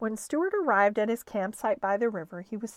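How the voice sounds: Lively intonation runs through this clip, delivered in a natural reading voice.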